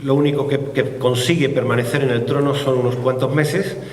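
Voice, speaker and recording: Audible room echo and noticeable background noise surround a man speaking at medium pitch. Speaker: author presenting his book. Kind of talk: book presentation talk. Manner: hesitant, many fillers.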